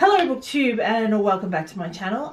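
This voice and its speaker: A woman with an Australian accent, a fairly high pitch and lively intonation, over noticeable background noise. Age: 30s. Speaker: book vlogger. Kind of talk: casual book review vlog. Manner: hesitant, many fillers.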